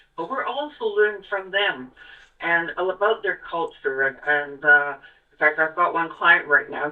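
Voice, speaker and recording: A woman speaks with a fairly low pitch. Music plays in the background. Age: 70s. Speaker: realtor. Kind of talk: casual interview chat.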